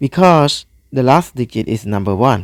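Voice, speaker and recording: A man with a non-native accent speaks at a very slow pace with lively intonation. The sound is dry and close, with no echo. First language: not English. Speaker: math tutor. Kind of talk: tutorial. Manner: halting.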